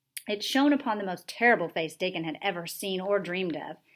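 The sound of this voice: The reading sounds unforced, with lively intonation throughout.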